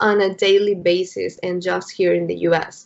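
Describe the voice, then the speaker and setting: A woman of medium pitch with a Spanish accent, at a fairly slow pace. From Mexico City, Mexico. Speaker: entrepreneur, founder of eco-friendly brand. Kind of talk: business pitch discussion on video call. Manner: hesitant, many fillers.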